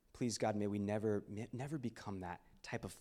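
In an ordinary speaking voice, a man with an American accent talks at a moderate pace, his fairly low pitch showing ordinary variation. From Texas, Houston. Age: 20s. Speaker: ministry speaker. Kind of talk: sermon.

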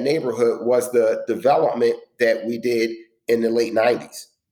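Here is a man with a plain, everyday voice. He talks at a fairly slow pace with ordinary pitch variation. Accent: American. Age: 50s. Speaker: affordable housing developer. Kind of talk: interview. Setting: at home, remote.

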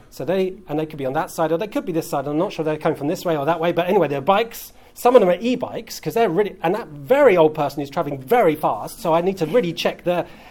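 A man with a British accent talks at a very fast pace, his high pitch carried by lively intonation. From UK. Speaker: pastor. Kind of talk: sermon.

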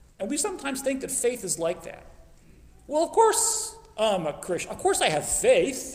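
A voice with an American accent swings very widely in pitch and greatly in loudness, over noticeable background noise. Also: man, extremely high pitch for a man, moderate pace. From US Southwest, Phoenix. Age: 50s. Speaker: preacher. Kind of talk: sermon.

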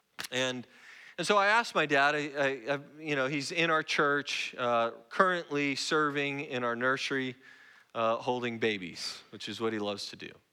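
In a very clean recording with a silent background, a man speaks at a moderate pace with a fairly high pitch, a bright, sharp tone and ordinary pitch variation. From Oregon, US Northwest. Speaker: guest pastor. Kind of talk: sermon. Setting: church.

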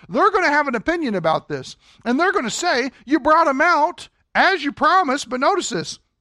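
Against a quiet background, a man with an American accent uses a raised, projected voice at an extremely high pitch, bright and sharp in tone, with lively intonation at a fairly quick pace, the sound dry and close with no echo. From Kentucky. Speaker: Sunday school teacher. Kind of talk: Bible class lecture.

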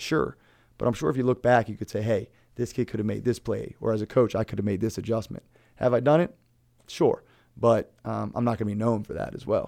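With an American accent, a man at medium pitch talks at a fairly quick pace with vocal fry, a dark, mellow tone and ordinary pitch variation on a very clean recording with a silent background. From Maryland, Brunswick. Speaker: high school basketball coach. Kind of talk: interview.

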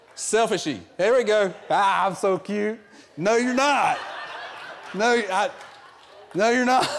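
With an American accent and a high pitch for a man, he talks at a very slow pace with very even loudness, ordinary pitch variation and long, frequent pauses, over noticeable background noise and audible room echo. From US South. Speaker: guest preacher filling in for the pastor. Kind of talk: sermon. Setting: church service with congregation.

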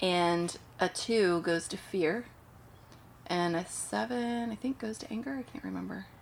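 A woman with an American accent speaks fairly slowly in an ordinary speaking voice at medium pitch, with lively intonation and big swings in loudness. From US Pacific Northwest (Portland, Oregon). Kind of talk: casual chat.

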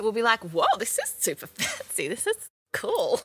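With an Australian accent, the speaker keeps a moderate pace, and the sound is dry and close with no echo. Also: woman. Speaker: reality TV personality. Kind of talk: casual interview chat. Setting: video call.

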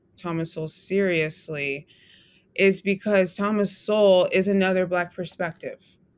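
A woman speaks at a fairly slow pace with an American accent. She has a normal speaking voice. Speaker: writer and writing instructor. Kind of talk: interview conversation.

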